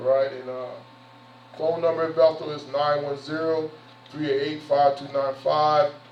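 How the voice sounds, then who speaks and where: Against noticeable background noise and audible room echo, a man speaks fairly quickly in a fairly high, monotone, flat voice. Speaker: pastor. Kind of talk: sermon. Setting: church. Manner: fast; conversational.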